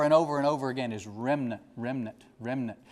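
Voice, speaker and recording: A man with an unremarkable speaking voice, fairly high in pitch, using ordinary pitch variation. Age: 60s. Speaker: bishop. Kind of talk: sermon.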